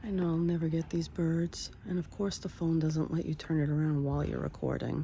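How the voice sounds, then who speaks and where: With very even loudness, a woman with an American accent speaks at a fairly quick pace. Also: hardly any pauses. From New York. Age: 60s. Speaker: vlogger. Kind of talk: casual vlog monologue.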